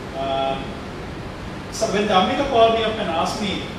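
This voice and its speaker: There is strong room echo and noticeable background noise. A man speaks at a moderate pace. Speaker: speaker. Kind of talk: motivational talk to students. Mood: candid, self-deprecating. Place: hall.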